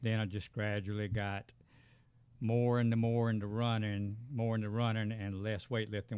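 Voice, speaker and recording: In a Southern US accent, the speaker talks at a fairly quick pace with monotone, flat intonation on a very clean recording with a silent background. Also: man. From US South, south Georgia. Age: 70s. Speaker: retired educator and veteran runner. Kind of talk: casual interview. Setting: studio.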